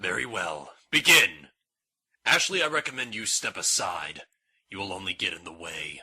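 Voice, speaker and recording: Here a man puts on a character voice at a medium pitch. He speaks at a moderate pace. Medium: audio drama. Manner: formal, clipped.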